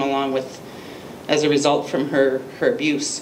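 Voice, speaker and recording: Over noticeable background noise, a woman with a Canadian accent speaks at a fairly slow pace. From Lethbridge, Alberta, Canada. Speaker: abuse survivor and advocate. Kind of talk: public speech.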